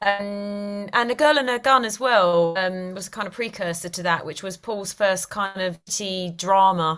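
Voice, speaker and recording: With an East London accent, a woman talks at a fairly slow pace, using ordinary pitch variation and big swings in loudness. The recording is very clean, with a silent background. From East London, England. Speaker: actress. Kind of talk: interview.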